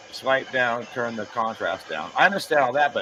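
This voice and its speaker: Through noticeable background noise, the man's words arrive at a moderate pace. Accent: American. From Las Vegas, US. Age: 40s. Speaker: live streamer and craftsman. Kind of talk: casual chat. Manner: loud.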